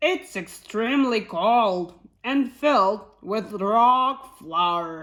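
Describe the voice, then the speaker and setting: A woman puts on a character voice at a fairly high pitch and a very slow pace, in a very clean recording with a silent background. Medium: read story.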